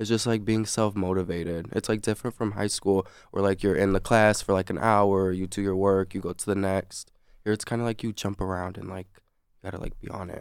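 A man with an American accent speaks at a fairly quick pace in a fairly low, monotone, flat voice whose loudness swings widely, recorded very cleanly against a silent background. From Michigan. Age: young. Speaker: college student. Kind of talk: casual interview.

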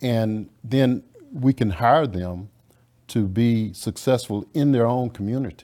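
A man's dark, mellow voice at a very slow pace. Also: medium pitch for a man, ordinary pitch variation. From rural Louisiana. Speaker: technology business owner. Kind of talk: interview. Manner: halting.

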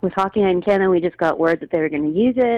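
Her intonation lively, a woman speaks at a fairly low pitch. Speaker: singer-songwriter. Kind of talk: radio interview.

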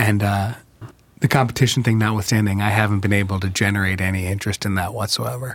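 Very fast pace from a man with an American accent. His pitch is fairly low and his intonation fairly even. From New York, then Chicago from age ten. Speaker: writer and filmmaker. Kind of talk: casual chat.

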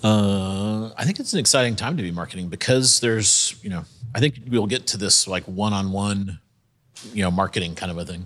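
A man speaks at a fairly low pitch in a plain, everyday voice with an American accent. His pace is fairly quick, his pitch variation ordinary, and the recording very clean with a silent background. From South Carolina. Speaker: entrepreneur. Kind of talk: live panel discussion.

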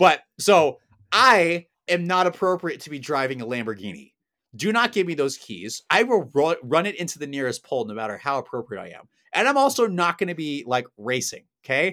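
A man with an American accent talks at a moderate pace in a fairly high pitch, his tone bright and sharp. His pitch swings very widely and his loudness swings a lot, on a very clean recording with a silent background. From US Pacific Northwest, Portland, Oregon. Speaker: physical therapy professor. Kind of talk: casual chat.

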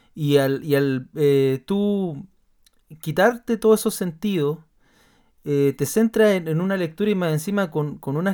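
A man with an ordinary speaking voice talks at a fairly slow pace, fairly high in pitch, with lively intonation. The recording is very clean, with a silent background. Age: 30s. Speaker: podcast host, pastor. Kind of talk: casual chat.

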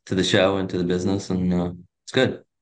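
A man with a plain, everyday voice, fairly low in pitch, speaks at a moderate pace against a quiet background. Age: 40s. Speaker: real estate agent and team leader. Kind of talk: interview.

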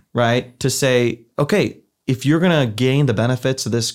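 The speaker has a Midwestern American accent and ordinary pitch variation. The recording is very clean, with a silent background. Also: man. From US Midwest, Ohio. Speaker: theology professor. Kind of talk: podcast interview.

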